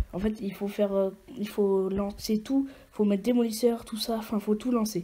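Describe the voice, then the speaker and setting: Over noticeable background noise, a woman talks fairly slowly. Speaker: gaming YouTuber. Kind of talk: gameplay tutorial commentary. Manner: halting, many fillers and repetitions.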